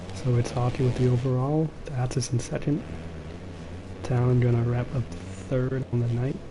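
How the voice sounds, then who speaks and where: A man's quiet whispering at a moderate pace, very even in loudness, with long, frequent pauses and noticeable background noise. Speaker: esports race commentator. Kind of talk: live commentary. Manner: quiet, near whisper. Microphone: low-battery mic, cutting out.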